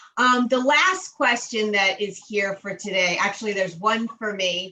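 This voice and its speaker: Speaking at a fairly slow pace, a woman with a medium pitch uses ordinary pitch variation in a plain, everyday voice. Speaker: webinar host for construction firm. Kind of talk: online webinar Q&A.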